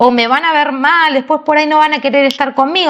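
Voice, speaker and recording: A woman with a high pitch speaks in a Rioplatense accent. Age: 40s. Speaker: podcast co-host. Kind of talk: casual chat.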